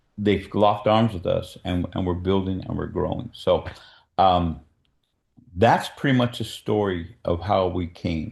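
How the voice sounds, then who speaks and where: A man speaks in a somewhat breathy voice. His pitch is fairly low and his pace fairly slow. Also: fairly even intonation. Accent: American. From California. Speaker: filmmaker and producer. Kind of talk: presentation to a meeting.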